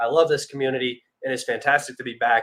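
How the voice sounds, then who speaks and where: The man talks very fast at a medium pitch, his tone bright and sharp. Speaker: geopolitics livestream host. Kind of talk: casual livestream commentary. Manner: animated.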